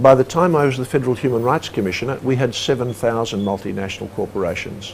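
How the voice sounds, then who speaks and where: A man with an Australian accent talks at a very fast pace, his pitch medium and its variation ordinary. Noticeable background noise sits behind him. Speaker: former human rights commissioner. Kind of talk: interview.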